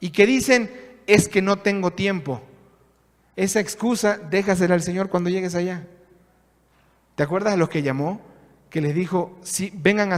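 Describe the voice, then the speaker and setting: A man's high-pitched, moderately paced speech with long, frequent pauses. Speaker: pastor. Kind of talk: sermon.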